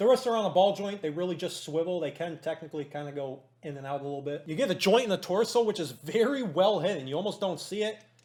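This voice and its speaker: Here a man speaks at a very fast pace in a high pitch. His tone is animated and his intonation lively. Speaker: toy reviewer. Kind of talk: product review.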